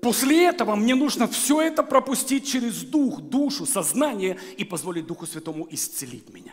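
This man's voice sits extremely high, with very wide pitch swings, big swings in loudness and hardly any pauses. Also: moderate pace. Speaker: guest preacher. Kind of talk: sermon. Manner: animated. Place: church.

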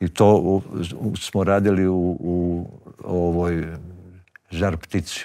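A man speaks very slowly in a very deep, low voice, with long, frequent pauses and a flat, monotone delivery against a quiet background. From Bosnia, Bosanska Krajina; Bosnia. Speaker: poet and actor; interview guest, poet. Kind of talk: interview conversation. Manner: halting. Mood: warm, reflective. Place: studio. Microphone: lapel.

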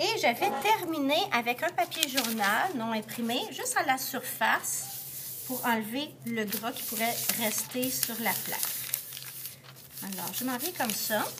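A woman talks at a very slow pace in a high pitch with lively intonation, with noticeable background noise. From Quebec. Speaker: art teacher. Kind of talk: tutorial. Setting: classroom. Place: classroom. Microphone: phone near.

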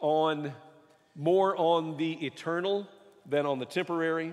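A man is speaking. The background is quiet. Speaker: preacher. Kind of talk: sermon. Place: church.

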